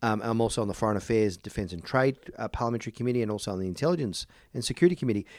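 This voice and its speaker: A man with an Australian accent talks at a very fast pace and medium pitch with ordinary pitch variation. The recording is very clean, with a silent background. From Melbourne, Australia. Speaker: politician. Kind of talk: interview.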